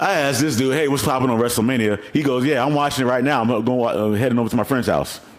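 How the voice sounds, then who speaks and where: Talking at a very fast pace with hardly any pauses, a man keeps an animated tone and very even loudness at a medium pitch, with audible room echo. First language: not English. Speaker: podcast host. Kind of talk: casual chat.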